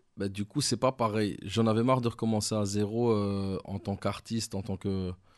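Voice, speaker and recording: Against a quiet background, a man with an unremarkable speaking voice talks. His pitch is fairly low and his pace moderate. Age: 30s. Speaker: rap manager and former rapper. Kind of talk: casual interview.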